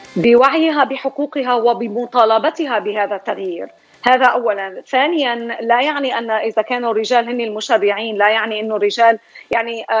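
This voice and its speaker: A woman talks at a moderate pace with an ordinary speaking voice. Her pitch is fairly high and varies in an ordinary way. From Syria. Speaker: psychology professor and writer. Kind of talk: radio interview.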